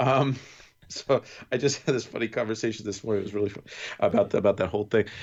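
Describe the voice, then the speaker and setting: A man with a New York accent talks very fast with fairly even intonation, yet leaves long, frequent pauses. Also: medium pitch for a man. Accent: New York accent coming out. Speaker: podcast co-host. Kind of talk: casual chat.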